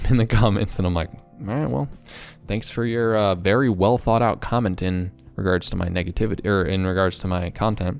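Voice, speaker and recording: A man talks fairly quickly while music runs in the background. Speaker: productivity and self-development YouTuber. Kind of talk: casual talk to camera. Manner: fast, talkative.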